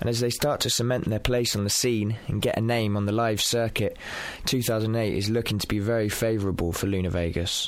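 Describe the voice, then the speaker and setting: Amid noticeable background noise, a man with a medium pitch talks at a fairly quick pace in an upbeat tone, his loudness very even. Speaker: podcast host and record label presenter. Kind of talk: radio DJ patter, intro and outro links with a poem reading. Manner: upbeat, brisk, cheeky and fluent.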